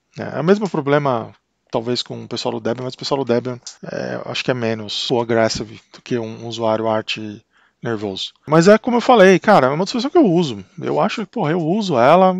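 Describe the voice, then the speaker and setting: A man with a Brazilian accent at a fairly quick pace, very wide pitch swings, a quiet background and a dry, close sound with no echo. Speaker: tech YouTuber. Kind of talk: tutorial. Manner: casual, hesitant with repetitions.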